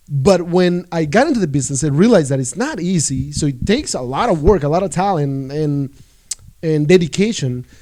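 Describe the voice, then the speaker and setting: Speaking at a fairly quick pace, a man with a Spanish accent uses a high pitch and lively intonation. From El Salvador. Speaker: real estate agent. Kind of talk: casual chat.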